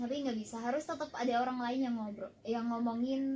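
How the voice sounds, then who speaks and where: A woman with a high voice speaks at a fairly quick pace. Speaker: radio announcer. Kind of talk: talk show interview.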